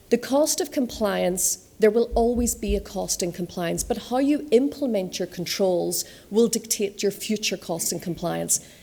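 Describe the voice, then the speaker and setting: Hardly pausing, a woman talks at a medium pitch. Her voice has a dark, mellow tone with vocal fry. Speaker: conference speaker on fintech regulation. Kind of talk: conference talk. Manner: fast.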